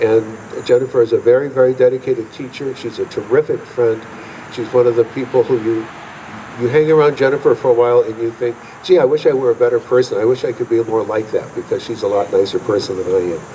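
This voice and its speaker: A man talks very fast at a medium pitch with fairly even intonation. There is noticeable background noise. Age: 70s. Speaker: honored fife and drum veteran, drum teacher. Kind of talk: acceptance speech. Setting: museum hall with audience. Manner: halting.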